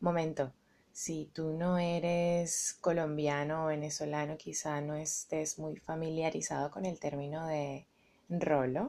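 A woman's very deep, low voice, dark and mellow in tone, very slow and monotone with flat intonation, over a quiet background. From Venezuela (Caracas). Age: 30s. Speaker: podcast host. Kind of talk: casual monologue.

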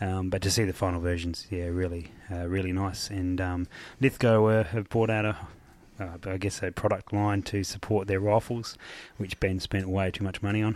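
In an Australian accent, a man speaks at a moderate pace with a very deep, low pitch and monotone, flat intonation, on a very clean recording with a silent background. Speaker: podcast host. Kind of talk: casual chat. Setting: hotel room.

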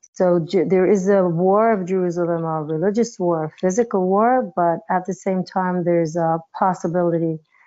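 An ordinary speaking voice at a moderate pace with fairly even intonation. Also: woman, medium pitch for a woman. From New York (raised), born in Israel. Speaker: dancer and choreographer. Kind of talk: interview.

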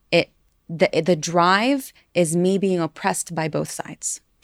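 A woman with an American accent and a fairly low pitch, ordinary pitch variation, and a dry, close sound with no echo on a very clean recording with a silent background. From US-raised, then East Jerusalem. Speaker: podcast co-host. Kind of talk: casual chat.

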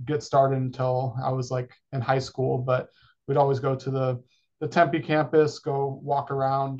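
Somewhat breathy, a man with an American accent speaks at a fairly slow pace in a monotone, flat intonation. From California. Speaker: university sports program coordinator. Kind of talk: interview.

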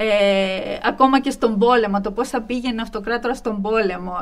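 A woman with a normal speaking voice, pitched fairly high. She talks at a moderate pace with fairly even intonation. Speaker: associate professor of Byzantine studies. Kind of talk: interview. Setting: studio.

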